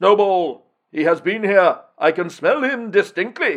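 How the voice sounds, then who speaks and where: Against a quiet background, a man puts on a high-pitched character voice and speaks fairly slowly. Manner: terrible, menacing.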